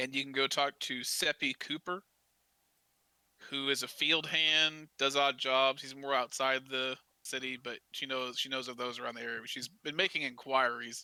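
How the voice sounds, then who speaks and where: A man with a Southern US accent speaks in a bright, sharp tone, with long, frequent pauses. The sound is dry and close, with no echo. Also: very clean recording, silent background. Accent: southern drawl. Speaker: dungeon master. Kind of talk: tabletop role-playing game session. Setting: live stream. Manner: halting, repeats words.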